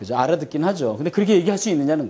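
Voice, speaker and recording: With very wide swings in pitch, a man talks in a fairly high register. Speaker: seminar lecturer on China business. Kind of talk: seminar lecture. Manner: fast.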